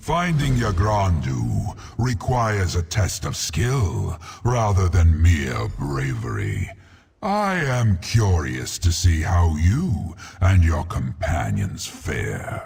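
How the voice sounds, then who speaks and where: Using a put-on character voice, a man talks very slowly at a very deep, low pitch. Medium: video game. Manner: grave, measured, imposing.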